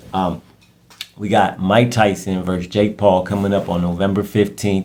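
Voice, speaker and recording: Noticeable background noise sits behind speech delivered with an American accent. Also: man. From US Midwest, Warren, Ohio. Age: 30s. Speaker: podcaster. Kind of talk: casual monologue. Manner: halting.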